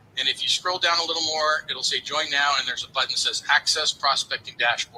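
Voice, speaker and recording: There is noticeable background noise behind this man. His pitch is fairly high and his intonation fairly even. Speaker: business trainer. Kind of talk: tutorial. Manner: fast.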